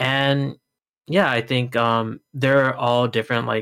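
A man speaks at a fairly slow pace in a medium-pitched voice with fairly even intonation, a normal speaking voice. The recording is very clean, with a silent background. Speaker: tournament organizer. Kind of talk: casual chat.

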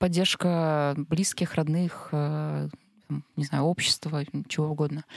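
In a very deep, low voice, a woman speaks very slowly and in a monotone, flat intonation, with a dry, close sound and no echo. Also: very clean recording, silent background. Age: 30s. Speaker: unemployed marketer, podcast guest. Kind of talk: casual discussion. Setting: studio.

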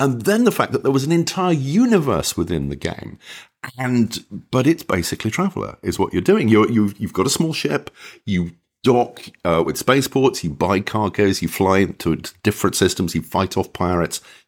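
Speaking at a moderate pace, a man uses a fairly low pitch with big pitch swings.

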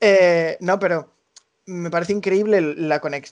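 An ordinary speaking voice from a man, fairly slow in pace with ordinary pitch variation. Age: 20s. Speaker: association collaborator. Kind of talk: interview. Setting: remote call.

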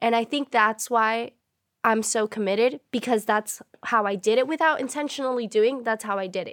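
Recorded with a dry, close sound and no echo, a woman has an unremarkable speaking voice, fairly high in pitch, with ordinary pitch variation at a moderate pace. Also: very clean recording, silent background. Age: 20s. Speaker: recent college graduate, fitness enthusiast. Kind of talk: casual chat.

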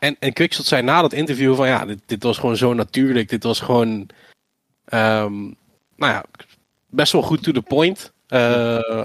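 A man talks at a moderate pace in a plain, everyday voice. His pitch sits in the medium range. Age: 20s. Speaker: esports presenter, former YouTuber. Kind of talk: casual interview.

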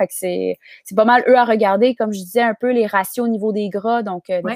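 A woman with a Quebec accent, medium-pitched and monotone with flat intonation, at a moderate pace, in a dry, close sound with no echo. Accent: Québécois French. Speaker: nutritionist. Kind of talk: casual interview chat.

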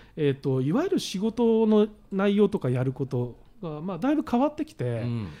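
Using very wide pitch swings and big swings in loudness, a man talks at a fairly quick pace with a high pitch and a dark, mellow tone. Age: 50s. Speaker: author. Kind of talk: casual chat.

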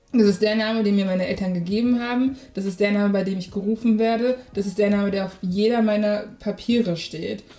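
A woman's plain, everyday voice, medium in pitch, fairly quick, with fairly even intonation. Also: hardly any pauses. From Germany. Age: 20s. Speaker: podcaster. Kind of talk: casual chat.

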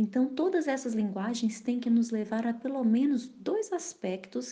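A woman speaks at a fairly slow pace in a dark, mellow, somewhat breathy tone with lively intonation. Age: 30s. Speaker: married mother, church mentor. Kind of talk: casual chat.

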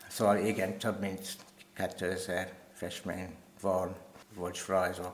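In a very deep, low voice with a strong non-native accent, a man speaks very slowly and in a monotone, flat way, leaving long, frequent pauses amid audible room echo. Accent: strong foreign accent in Hungarian. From Kenya, then England and Wales from age 8. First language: English (speaking Hungarian). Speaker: painter. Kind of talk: interview. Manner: halting, many fillers.

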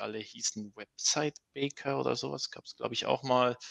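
A man's bright, sharp tone at a moderate pace, dry and close with no echo. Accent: Swiss German. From Switzerland. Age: 30s. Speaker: open-source software developer. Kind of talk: casual interview.

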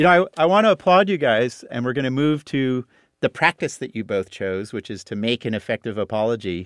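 A man's fairly quick speech with very wide pitch swings, on a very clean recording with a silent background. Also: medium pitch for a man, dry, close sound with no echo. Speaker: podcast host. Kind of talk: interview and narration. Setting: studio.

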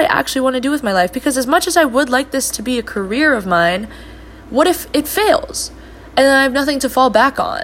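Loud and quick, a woman talks in a high voice with lively intonation. Noticeable background noise can be heard. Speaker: solo podcast host. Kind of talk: casual monologue. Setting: home recording. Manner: fast.

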